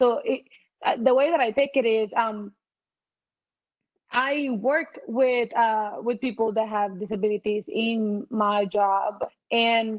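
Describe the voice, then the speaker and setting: Her fairly high voice is very even in loudness and fairly even in intonation as this woman speaks at a very slow pace with long, frequent pauses. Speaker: panelist, accessibility design lead. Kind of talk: panel discussion. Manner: halting, many repetitions.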